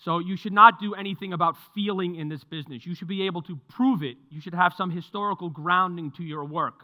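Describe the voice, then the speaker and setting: In a New York accent, a man talks at a fairly quick pace in a high voice with a bright, sharp tone and ordinary pitch variation, on a very clean recording with a silent background. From New York (Mount Vernon). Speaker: market strategist. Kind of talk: presentation to live audience. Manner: conversational.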